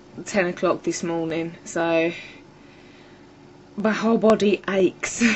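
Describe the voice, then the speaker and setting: Over noticeable background noise, a woman speaks at medium pitch and a fairly slow pace with fairly even intonation. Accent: English. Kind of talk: casual talk to camera. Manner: irritated, ranting.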